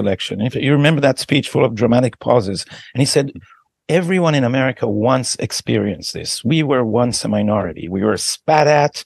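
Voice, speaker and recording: A man speaks with an Israeli accent at a medium pitch. The background is quiet. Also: dry, close sound with no echo. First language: Hebrew. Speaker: podcast host. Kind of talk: interview.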